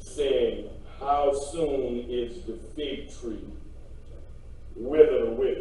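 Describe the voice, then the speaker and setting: A man speaks at a very slow pace. The room echo is strong, with light background noise. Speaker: preacher. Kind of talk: scripture reading in a sermon. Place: church. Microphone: podium.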